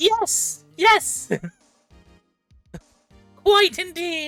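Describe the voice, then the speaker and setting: Faint music plays behind a woman doing a put-on character voice at an extremely high pitch. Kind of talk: formal. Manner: pompous.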